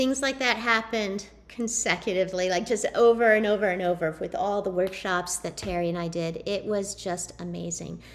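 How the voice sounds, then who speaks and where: With an ordinary speaking voice, a woman talks at a moderate pace and medium pitch, showing ordinary pitch variation and hardly any pauses. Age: 30s. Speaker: network marketing distributor. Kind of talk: presentation.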